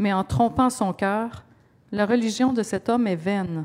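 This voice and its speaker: Fairly high in pitch, a woman's voice moves with ordinary pitch variation. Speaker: scripture reader. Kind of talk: reading aloud.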